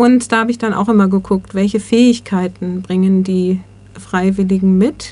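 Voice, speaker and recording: A woman speaks in a medium pitch with a dark, mellow tone, somewhat breathy. Her intonation stays fairly even. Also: moderate pace. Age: 60s. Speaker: volunteer coordinator, social worker. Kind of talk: interview.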